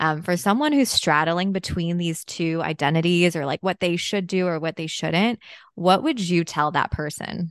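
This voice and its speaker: A woman with a fairly low pitch and ordinary pitch variation speaks at a moderate pace, the sound dry and close with no echo against a quiet background. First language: Chinese. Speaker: podcast host, dietitian. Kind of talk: casual interview.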